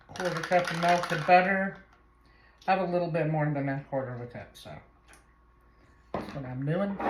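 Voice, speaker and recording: A woman with a fairly low voice at a moderate pace, with long, frequent pauses and big swings in loudness, plus noticeable background noise and audible room echo. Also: ordinary pitch variation. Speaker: home cooking video host. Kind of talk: cooking tutorial. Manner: soft-spoken. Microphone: no microphone, camera audio.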